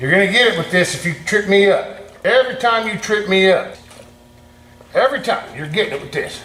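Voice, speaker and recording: Over noticeable background noise, a man raises and projects his high-pitched voice, talking at a fairly quick pace with ordinary pitch variation. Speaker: channel owner tinkering in a family workshop. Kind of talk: casual vlog monologue. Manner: loud.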